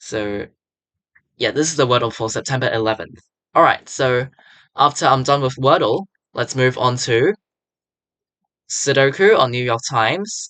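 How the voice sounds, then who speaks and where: A man speaks at a moderate pace and a medium pitch, with ordinary pitch variation and a bright, sharp tone. Long, frequent pauses break up his speech over a quiet background. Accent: non-native. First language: not English. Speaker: puzzle video commentator. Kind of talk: gameplay commentary.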